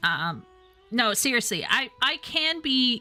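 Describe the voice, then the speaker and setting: With music in the background, a woman speaks in a Canadian accent. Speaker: streamer. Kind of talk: casual chat.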